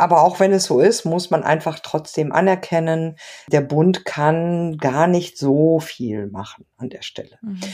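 In a very clean recording with a silent background, a woman with a dark, mellow tone speaks at a fairly slow pace, her loudness swinging widely. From Germany, Ruhr area (Mülheim an der Ruhr). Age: 50s. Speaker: sociology professor. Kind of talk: interview. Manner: hesitant with many fillers.

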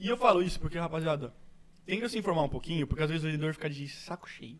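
With ordinary pitch variation, a man talks very fast at a fairly high pitch. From Brazil, Santos (São Paulo coast). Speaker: podcast host. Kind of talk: casual chat.

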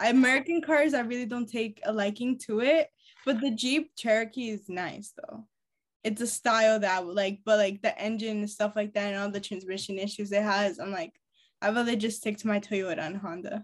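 The speaker has an ordinary speaking voice. The pace is moderate, with ordinary pitch variation. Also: woman, fairly high pitch for a woman. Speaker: podcast host. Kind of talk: casual chat. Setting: video call.

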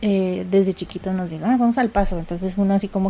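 Her tone is dark and mellow, and this woman keeps her intonation fairly even. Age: 30s. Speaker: podcast host, architect. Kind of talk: casual chat.

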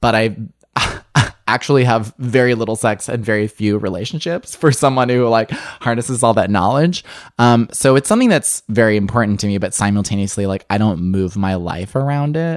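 Against a quiet background, a man with an American accent speaks at a fairly quick pace, at medium pitch with ordinary pitch variation. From US Midwest, suburban Illinois. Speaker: writer and podcast co-host. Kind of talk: interview conversation.

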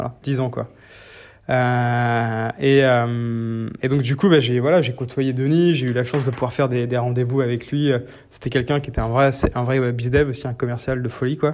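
Over a quiet background, a man with a medium pitch speaks at a moderate pace in a flat monotone. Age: 30s. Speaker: startup founder. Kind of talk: interview. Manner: halting, many fillers.

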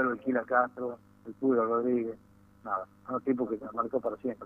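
This is a man speaking at a medium pitch. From Tucumán, Argentina. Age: 60s. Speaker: football club executive. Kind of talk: radio interview.

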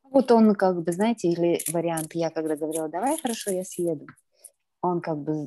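Her voice is fairly low with a dark, mellow tone, as this woman talks at a moderate pace with ordinary pitch variation. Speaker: participant asking advice. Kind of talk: personal consultation. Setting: video call.

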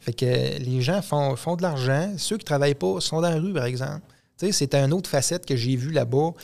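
This is a man with an ordinary speaking voice, fairly high in pitch, with ordinary pitch variation. The recording is very clean, with a silent background. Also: moderate pace. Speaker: podcast co-host, mechanic. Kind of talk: casual chat.

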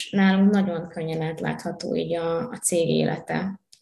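Fairly even intonation and a fairly slow pace, with audible room echo. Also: woman. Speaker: university student and HR intern. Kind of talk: interview.

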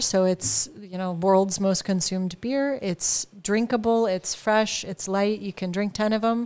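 A plain, everyday voice from a woman with an American accent, at a fairly slow pace with fairly even intonation. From California, US. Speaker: wine importer, business owner. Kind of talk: casual chat. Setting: informal studio, live on an audio app.

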